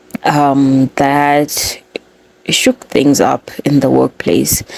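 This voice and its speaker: The speech comes at a very slow pace against noticeable background noise. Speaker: podcast host. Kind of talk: podcast explainer. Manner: casual.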